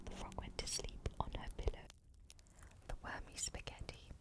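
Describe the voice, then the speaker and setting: A whispered, relaxed delivery with noticeable background noise behind it. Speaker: ASMR reader. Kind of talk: calm narration of a children's book. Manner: soft-spoken, relaxed.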